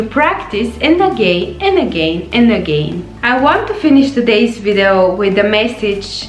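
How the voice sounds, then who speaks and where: A woman with a non-native accent speaks at a very slow pace with very wide pitch swings, amid audible room echo and noticeable background noise. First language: not English. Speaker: life coach. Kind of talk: motivational vlog talk.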